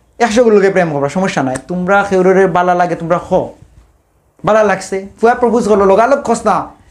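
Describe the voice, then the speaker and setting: A man's high-pitched voice with lively intonation. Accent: Sylheti. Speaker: stand-up comedian. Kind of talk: stand-up comedy monologue.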